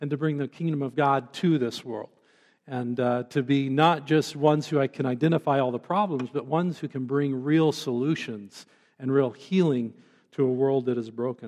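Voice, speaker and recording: With a plain, everyday voice, a man talks at a moderate pace over a quiet background, his fairly high pitch showing ordinary variation. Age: 50s. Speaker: pastor. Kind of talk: sermon.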